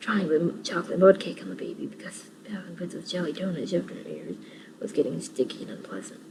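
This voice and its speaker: Noticeable background noise sits behind talking that runs at a fairly quick pace. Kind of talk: audiobook-style reading of a children's book, ASMR whisper reading. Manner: whispered.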